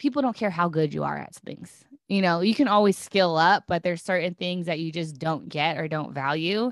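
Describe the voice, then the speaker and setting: A normal speaking voice from a woman, fairly low in pitch, with ordinary pitch variation and a fairly quick pace, on a very clean recording with a silent background. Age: 30s. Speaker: business coach. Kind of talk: casual chat interview. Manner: candid, casual.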